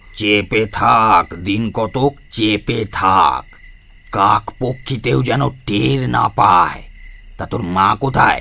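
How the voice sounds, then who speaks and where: A put-on character voice with lively intonation at a very slow pace. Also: man, fairly low pitch for a man. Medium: audio drama. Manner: gruff, scolding.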